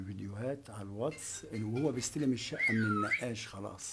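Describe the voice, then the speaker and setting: Noticeable background noise fills the clip. Through it, a man talks at a fairly slow pace. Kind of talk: interview answer. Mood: grieving, subdued storytelling. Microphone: handheld.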